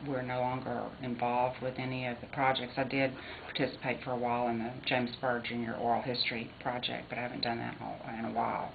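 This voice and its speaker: A woman speaks very fast in a very deep, low voice with monotone, flat intonation, and audible room echo surrounds her. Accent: American. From Texas. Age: 60s. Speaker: interviewee, former Jasper resident. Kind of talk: research interview.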